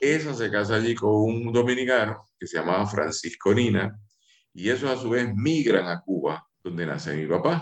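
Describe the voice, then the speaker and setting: A man speaks at a moderate pace with lively intonation and a medium pitch. He has an ordinary speaking voice. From Puerto Rico. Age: 50s. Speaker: lawyer and writer. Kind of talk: radio interview.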